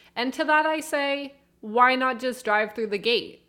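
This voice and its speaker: A woman with a Canadian accent speaks with lively intonation and a bright, sharp tone. The recording is very clean, with a silent background. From Canada. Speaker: podcast co-host. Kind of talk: casual chat.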